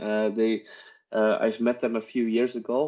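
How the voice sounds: A man speaks with a dark, mellow tone at a fairly low pitch. His fairly slow delivery has little pitch movement.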